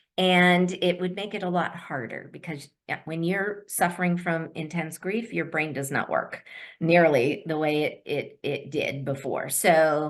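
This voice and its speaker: A woman at a fairly low pitch and fairly slow pace, with hardly any pauses, ordinary pitch variation and a quiet background. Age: 60s. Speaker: daily money manager, business founder. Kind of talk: webinar presentation. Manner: hesitant, many fillers.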